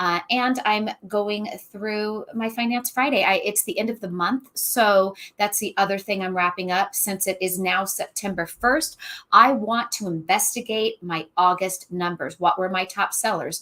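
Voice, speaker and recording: In a very clean recording with a silent background, the voice has a bright, sharp tone, an animated delivery and ordinary pitch variation. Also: woman, medium pitch for a woman. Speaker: online reseller. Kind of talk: casual chat. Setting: livestream. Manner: fast.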